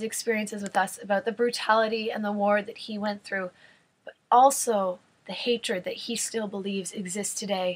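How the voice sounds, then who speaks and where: At a moderate pace, a woman speaks in a somewhat breathy, medium-pitched voice with fairly even intonation and big swings in loudness. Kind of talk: casual talk to camera, retelling a story.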